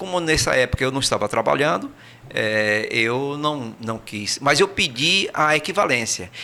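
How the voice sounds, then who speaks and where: Noticeable background noise sits behind a man of medium pitch who talks at a fairly slow pace with lively intonation. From Brazil. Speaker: emigrant recounting experience. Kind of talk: interview. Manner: hesitant, many fillers and repetitions.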